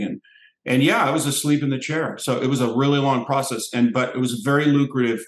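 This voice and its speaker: A man talks at a fairly quick pace, with audible echo from the room. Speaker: special guest actor. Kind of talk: interview answer. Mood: relaxed, amused. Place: home room. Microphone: headset.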